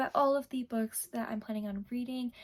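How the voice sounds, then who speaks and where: Somewhat breathy, a woman speaks in a monotone with flat intonation. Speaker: booktuber. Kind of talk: casual vlog talk.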